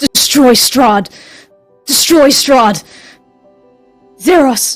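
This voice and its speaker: A female-sounding, high-pitched put-on character voice at a very slow pace, with faint music in the background. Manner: mumbling, weak.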